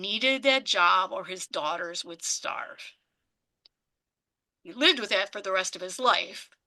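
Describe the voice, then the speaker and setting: With an American accent, a woman speaks at a fairly slow pace and a medium pitch, pausing long and often. Her tone is bright and sharp, her intonation lively, and her loudness swings widely. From United States. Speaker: immigration activist. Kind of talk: talk with audience Q&A. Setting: community group meeting.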